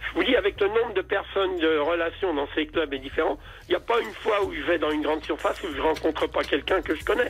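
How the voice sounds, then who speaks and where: Over noticeable background noise, a high-pitched man talks at a very fast pace. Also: ordinary pitch variation. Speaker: caller. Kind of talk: testimony. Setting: phone call.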